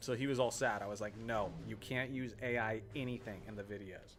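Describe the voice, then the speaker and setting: A man uses a normal speaking voice at a medium pitch, with ordinary pitch variation. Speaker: gaming streamer. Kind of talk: live stream gameplay chat. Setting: live stream.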